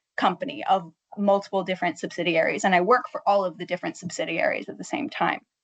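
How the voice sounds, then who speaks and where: With an American accent, a woman speaks at medium pitch in an unremarkable speaking voice with ordinary pitch variation. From United States. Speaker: marketing project manager, linguist in industry. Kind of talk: panel discussion.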